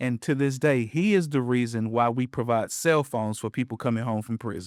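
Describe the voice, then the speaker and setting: With an American accent, a man talks at a moderate pace in a normal speaking voice of medium pitch with ordinary pitch variation, the sound dry and close with no echo on a very clean recording against a silent background. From Western North Carolina (Appalachia). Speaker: podcast co-host, minister. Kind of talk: casual conversational podcast.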